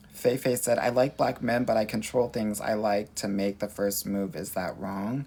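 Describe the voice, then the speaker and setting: A man with a Southern Californian accent talks at a moderate pace with hardly any pauses, his fairly low pitch carrying a dark, mellow tone. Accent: Valley girl. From Los Angeles, US West Coast. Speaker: dating coach. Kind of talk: live-stream Q&A reading viewer comments. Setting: livestream. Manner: animated.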